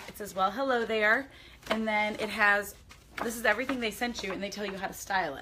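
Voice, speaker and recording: A woman talking at a very fast pace, with big swings in loudness and noticeable background noise. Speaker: lifestyle vlogger. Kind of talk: casual unboxing chat. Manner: animated.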